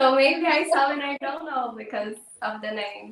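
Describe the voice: At a moderate pace, a woman speaks in a high pitch with a fairly bright tone and ordinary pitch variation.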